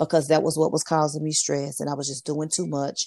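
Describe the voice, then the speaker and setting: A woman with a Southern US accent talks fairly quickly in a very deep, low pitch, on a very clean recording with a silent background. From US South, Memphis, Tennessee. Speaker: work-from-home business coach and author. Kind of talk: interview.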